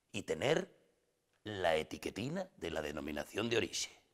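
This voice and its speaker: Very wide swings in pitch mark this man's speech. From Asturias, Spain. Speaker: comic actor. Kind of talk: comic monologue to camera. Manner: humorous, lively.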